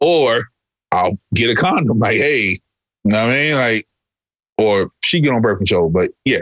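A man with a medium-pitched voice talks at a moderate pace in an animated tone with lively intonation, keeping his loudness very even. His long, frequent pauses come through a dry, close sound with no echo. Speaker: podcast co-host. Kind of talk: casual banter podcast chat. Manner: joking, animated, loud.

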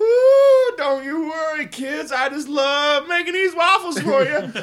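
Put-on character voice in a Southern US accent, high pitch and fairly slow pace. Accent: Southern American. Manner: sweet, welcoming.

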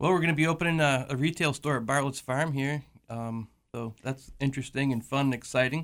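Using a plain, everyday voice, a man talks at a fairly quick pace in a fairly high pitch with fairly even intonation. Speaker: fisherman and seafood seller. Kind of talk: casual radio interview. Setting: radio studio.

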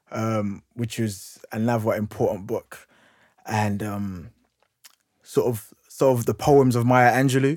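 A man's medium-pitched voice at a fairly slow pace, with fairly even intonation. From London, Hackney. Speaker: youth worker and speaker. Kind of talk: interview, personal story.

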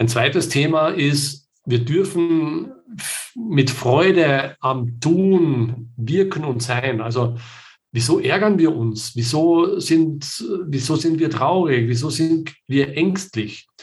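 A somewhat breathy, fairly high male voice at a very slow pace, with ordinary pitch variation. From southern Austria. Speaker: project management consultant. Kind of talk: interview. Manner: many filler sounds.

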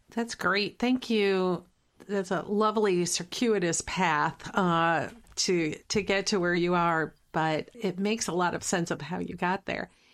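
Fairly slow and with fairly even intonation, a woman speaks at a medium pitch in an ordinary speaking voice on a very clean recording with a silent background. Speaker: podcast host. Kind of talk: interview, host intro.

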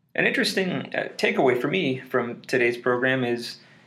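A man talks at a moderate pace in a medium pitch. Noticeable background noise sits behind his voice. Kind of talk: scripted narration.

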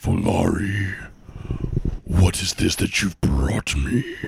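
A growling put-on character voice from a man, very deep and low in pitch, at a very slow pace. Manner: ominous, commanding.

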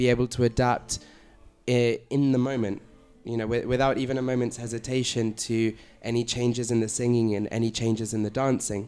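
In a London accent, a man with a medium pitch and a dark, mellow tone speaks at a moderate pace with monotone, flat intonation. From London, England. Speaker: flamenco guitarist. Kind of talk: round-table discussion.

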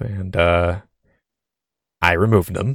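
In a very clean recording with a silent background, a man speaks with a very deep, low pitch and fairly even intonation, the sound dry and close with no echo. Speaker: podcast host. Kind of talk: casual chat. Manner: halting, many filler words.

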